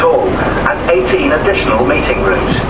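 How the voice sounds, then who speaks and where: A man keeps to a moderate pace while loud background noise fills the clip. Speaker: ferry tour commentator. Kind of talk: guided tour commentary. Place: boat.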